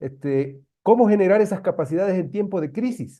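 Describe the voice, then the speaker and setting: A man in an ordinary speaking voice talks at a moderate pace with ordinary pitch variation. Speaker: meeting participant. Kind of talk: online meeting discussion.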